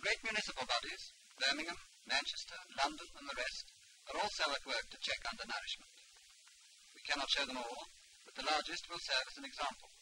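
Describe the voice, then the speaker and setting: A man's very fast speech with big swings in loudness and long, frequent pauses, against noticeable background noise. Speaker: evolutionary biologist. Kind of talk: public information film narration.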